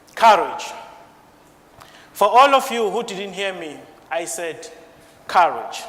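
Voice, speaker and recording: Long, frequent pauses mark a man's very slow speech. His pitch is high, and noticeable background noise is audible. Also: ordinary pitch variation, big swings in loudness. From South Africa. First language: not English. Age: 20s. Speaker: IT support engineer. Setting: stage with audience.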